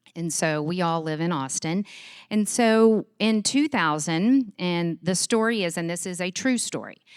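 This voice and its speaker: Recorded very cleanly against a silent background with a dry, close sound and no echo, a woman with a Texas accent speaks at a fairly slow pace and a fairly low pitch. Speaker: charity executive. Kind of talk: conference talk. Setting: stage with audience. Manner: animated.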